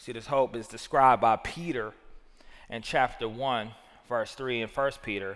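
A man with a Southern US accent, medium pitch and fairly even intonation at a moderate pace. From US South. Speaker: pastor. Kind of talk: sermon.

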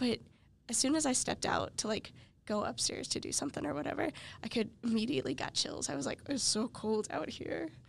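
A woman with a fairly high pitch and vocal fry speaks at a fairly quick pace, her pitch swinging very widely. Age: 20s. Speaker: college podcast host. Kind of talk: casual interview; scripted outro. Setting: studio.

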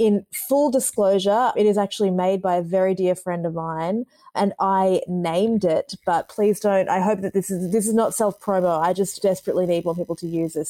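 A woman with an Australian accent speaks at a moderate pace in a dark, mellow tone. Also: dry, close sound with no echo. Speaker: commercial creative. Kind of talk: casual chat.

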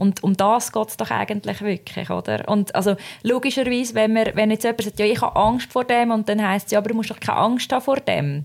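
A woman with a normal speaking voice talks at a fairly quick pace, using a fairly high pitch and ordinary pitch variation. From Switzerland. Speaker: podcast co-host. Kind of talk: casual chat.

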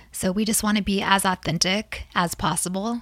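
With a somewhat breathy quality, a woman talks at a medium pitch. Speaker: pastor's wife, blogger.

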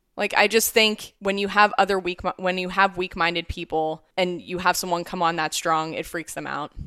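Speaking with a Midwestern accent, a woman at a medium pitch keeps a moderate pace with fairly even intonation and hardly any pauses. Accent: American Midwestern. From US Midwest, Ohio. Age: 30s. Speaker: physician assistant. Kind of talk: casual chat.

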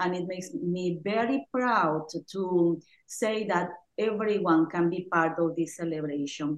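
A woman with a Mexican accent speaks at a fairly slow pace. Her pitch is fairly low, with ordinary variation. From Oaxaca, Mexico. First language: Spanish. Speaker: Spanish and music teacher. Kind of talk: casual chat.

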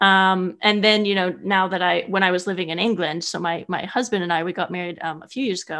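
In a normal speaking voice, a woman with an American accent talks at a fairly quick pace and medium pitch, with ordinary pitch variation against a quiet background. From US West Coast, California Bay Area. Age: 30s. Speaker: horse rider and traveler. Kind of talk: interview storytelling. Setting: remote call.

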